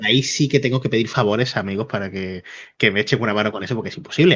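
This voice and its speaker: Very fast and fairly low-pitched, a man talks with a bright, sharp tone against a quiet background. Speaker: YouTube interviewer. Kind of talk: interview. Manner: calm at first, then fast.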